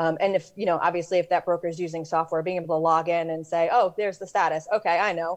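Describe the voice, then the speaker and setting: A woman with an American accent talks very fast in a fairly low pitch, her intonation flat and monotone. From New York. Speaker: real estate lending software rep. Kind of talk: interview. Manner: direct.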